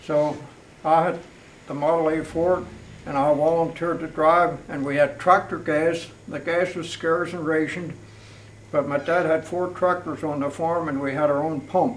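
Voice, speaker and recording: A man with an American accent speaks at a moderate pace in a monotone, flat intonation. Audible room echo and noticeable background noise are present. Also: fairly high pitch for a man. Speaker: local elder interviewee. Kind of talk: oral history interview.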